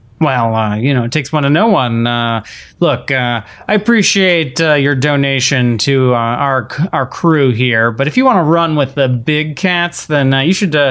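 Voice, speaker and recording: Speaking at a fairly slow pace, a man has an ordinary speaking voice with a fairly high pitch, ordinary pitch variation and very even loudness. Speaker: player in role-playing game. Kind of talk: casual tabletop RPG chat.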